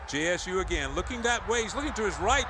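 A man speaks against noticeable background noise. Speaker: football play-by-play announcer. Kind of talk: live play-by-play game commentary. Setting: stadium broadcast.

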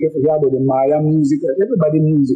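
A man's voice with music in the background. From Belize, Dangriga. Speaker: musician. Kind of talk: storytelling interview.

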